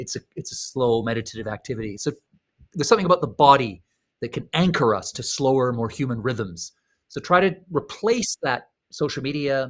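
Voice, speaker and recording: At a fairly quick pace, a man speaks in an unremarkable speaking voice with lively intonation and a medium pitch. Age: 50s. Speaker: author and speaker on slow living. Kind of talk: interview.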